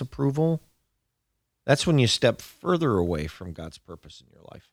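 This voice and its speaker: On a very clean recording with a silent background and a dry, close sound with no echo, a man of medium pitch speaks at a moderate pace. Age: 50s. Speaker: pastor. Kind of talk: sermon. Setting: studio.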